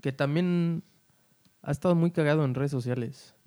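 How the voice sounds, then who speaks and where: A man speaks at a moderate pace, with a fairly high pitch and a dark, mellow tone. His intonation stays fairly even, and the sound is dry and close, with no echo. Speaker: podcast co-host. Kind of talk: casual chat. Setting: recording at home.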